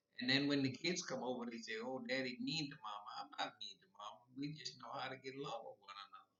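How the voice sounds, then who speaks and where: A man races at a very fast pace with hardly any pauses, his loudness swinging greatly. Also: ordinary pitch variation. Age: 80s+. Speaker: retired Korean War veteran. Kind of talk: casual talk to camera.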